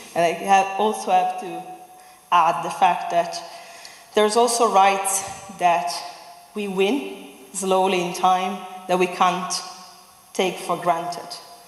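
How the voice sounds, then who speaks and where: In an Italian accent, a woman of medium pitch speaks very slowly in a flat monotone, with long, frequent pauses, audible room echo and noticeable background noise. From Italy. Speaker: human rights advocate. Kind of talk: public speech.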